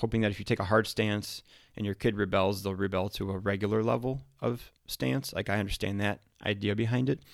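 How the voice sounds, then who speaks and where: A man with a normal speaking voice talks at a fairly quick pace, his fairly low pitch showing ordinary variation. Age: 30s. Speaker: firefighter podcast host. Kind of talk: casual solo talk. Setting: podcast studio.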